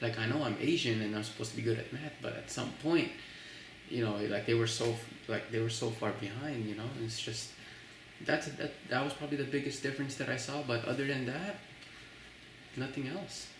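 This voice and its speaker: A man with a slight Filipino accent talks at a fairly quick pace but takes long, frequent pauses. Audible room echo and noticeable background noise are present. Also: medium pitch for a man, ordinary pitch variation. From Philippines, Manila; moved to Texas around fourth grade. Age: 20s. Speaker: college student interviewee, immigrant. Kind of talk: interview. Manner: casual, many fillers and restarts.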